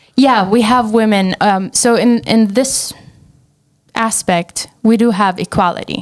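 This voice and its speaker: A woman with an Arabic accent talks at a fairly slow pace in a fairly high voice, keeping her loudness very even and her intonation fairly even. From Syria. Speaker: entrepreneur. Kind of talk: casual chat.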